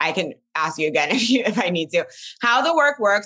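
A woman speaks with a bright, sharp tone. Her voice is raspy.

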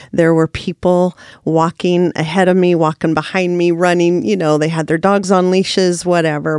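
Dry and close with no echo, a woman's voice is heard. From Oregon, US Pacific Northwest. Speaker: ministry founder. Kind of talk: testimony. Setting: studio.

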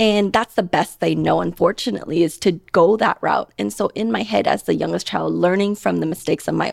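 A woman speaks at a moderate pace, her voice dry and close with no echo. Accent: General American. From Portland, Oregon. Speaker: dentist and practice owner. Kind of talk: casual interview.

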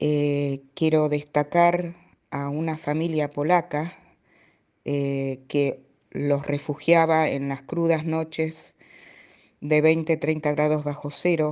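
A woman speaks at a very slow pace in a very deep, low pitch with a dark, mellow tone. Her intonation is monotone and flat, and the background is quiet. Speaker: daughter of Holocaust survivors. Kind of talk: testimony.

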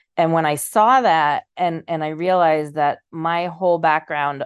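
A woman's very deep, low voice with an American accent at a fairly slow pace, over a quiet background. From US Northeast, Boston area. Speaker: nonprofit leader. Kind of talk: interview. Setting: remote call.

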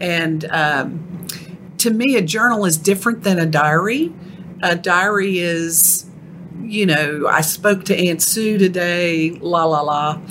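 Slowly, very slowly, a woman with a Texan accent speaks in a fairly low voice with ordinary pitch variation over noticeable background noise. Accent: Texan, noticeable twang. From Texas. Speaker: ghostwriter. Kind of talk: casual interview chat.

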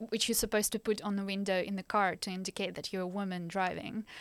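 A woman with a Ukrainian accent on a very clean recording with a silent background. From Ukraine. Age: 20s. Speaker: master's student, refugee. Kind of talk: interview, personal story.

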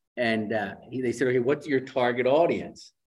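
A quiet background sits behind speech that keeps a moderate pace. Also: man. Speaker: speech language pathologist and author. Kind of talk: interview with reading aloud. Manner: enthusiastic.

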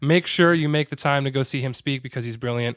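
A man with an American accent and a plain, everyday voice talks at a fairly quick pace and fairly high pitch, with fairly even intonation and a dry, close sound with no echo on a very clean recording with a silent background. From Connecticut, US. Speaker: podcast host and copywriter. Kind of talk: podcast interview.

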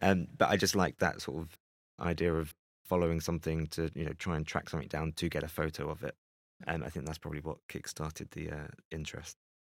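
A man with a London accent talks at a very fast pace. His pitch is very deep and low, and his intonation is monotone and flat. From London (Greenwich). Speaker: photographer. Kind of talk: interview conversation. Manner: hesitant, with fillers.

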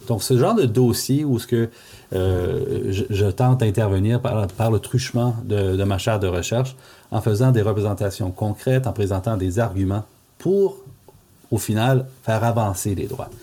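A man speaks with an Ontario French accent at a medium pitch and fairly slow pace. His tone is dark and mellow, somewhat breathy. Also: ordinary pitch variation. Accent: Franco-Ontarian French. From Northeastern Ontario, Canada (Franco-Ontarian village). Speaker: law professor and language rights lawyer. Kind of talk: interview. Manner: hesitant, frequent fillers and repetitions.

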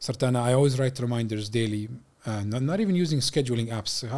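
A man speaks with an Arabic accent and fairly even intonation. The recording is very clean, with a silent background. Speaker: civil engineer. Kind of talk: casual chat. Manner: code-switching Arabic and English.

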